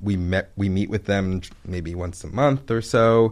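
Speaking with an American accent, a man uses a plain, everyday voice with fairly low pitch and ordinary pitch variation. He goes at a fairly slow pace, on a very clean recording with a silent background. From Maryland, Baltimore area (Pikesville). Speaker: ice cream shop owner. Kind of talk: casual interview.

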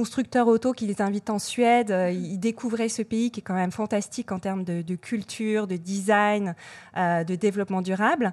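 A woman with a normal speaking voice talks at medium pitch and a moderate pace, with fairly even intonation. The recording is very clean with a silent background and a dry, close sound with no echo. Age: 40s. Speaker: social media and influencer marketing manager. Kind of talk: interview.

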